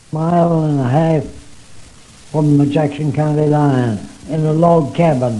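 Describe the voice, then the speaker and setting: With noticeable background noise behind him, a man with a fairly high pitch talks at a fairly slow pace, his intonation fairly even, his loudness very even, and his pauses long and frequent. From southern Illinois. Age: 90s. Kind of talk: oral history interview answer.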